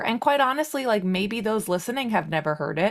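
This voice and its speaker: A woman is speaking. Her pitch swings very widely. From Long Island, New York. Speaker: podcast guest sharing fertility journey. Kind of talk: personal testimony in interview. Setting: podcast interview.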